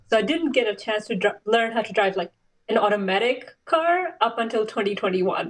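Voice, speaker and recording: Fairly high pitch from a woman with a non-native accent, fairly quick pace and lively intonation. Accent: foreign. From Saudi Arabia, Pakistani family. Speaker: race car driver and clinical researcher. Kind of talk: interview.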